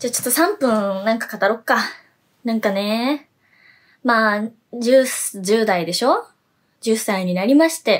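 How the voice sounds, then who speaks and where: Against a quiet background, the speaker goes at a fairly slow pace with long, frequent pauses and ordinary pitch variation. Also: woman. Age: 20s. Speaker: idol singer. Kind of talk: solo web radio vlog. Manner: animated. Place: home room. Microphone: phone near.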